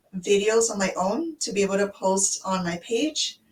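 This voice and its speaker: In a normal speaking voice, a woman with an American accent talks at a medium pitch and a fairly slow pace. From United States. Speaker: online business owner. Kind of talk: casual chat.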